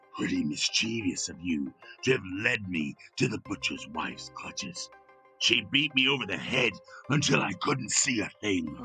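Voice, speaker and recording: In a put-on character voice, a man speaks at a moderate pace over faint background music. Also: medium pitch for a man. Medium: read story. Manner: demanding, gruff.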